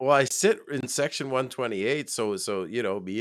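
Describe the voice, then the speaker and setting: At a fairly slow pace, a man speaks with ordinary pitch variation on a very clean recording with a silent background. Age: 30s. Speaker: football fan co-host. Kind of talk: casual sports talk show. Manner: animated.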